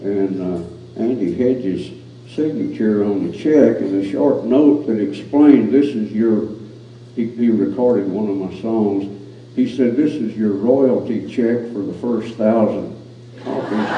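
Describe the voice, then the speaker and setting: Noticeable background noise and audible room echo sit behind a man with a fairly low pitch. He talks at a fairly slow pace with ordinary pitch variation. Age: 70s. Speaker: cowboy poet. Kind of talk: casual chat. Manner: halting.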